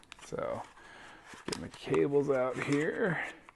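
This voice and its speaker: A quiet man at a very slow pace. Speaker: book reviewer. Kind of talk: unboxing review. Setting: at home. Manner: casual.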